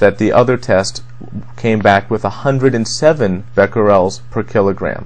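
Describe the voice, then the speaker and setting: A man at medium pitch and a moderate pace, with vocal fry and fairly even intonation. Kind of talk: commentary on news to camera.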